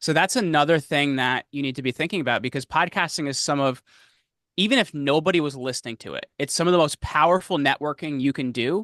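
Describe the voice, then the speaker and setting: Very fast and with ordinary pitch variation, a man speaks at a fairly high pitch with a New Jersey accent. The sound is dry and close with no echo over a quiet background. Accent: New Jersey American. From New Jersey, US. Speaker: podcast host and media consultant. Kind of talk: interview.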